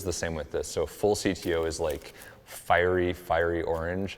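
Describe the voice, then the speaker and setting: This soft-spoken man has an American accent and a very deep, low pitch. He talks at a moderate pace. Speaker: photographer. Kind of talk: tutorial. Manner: casual with fillers.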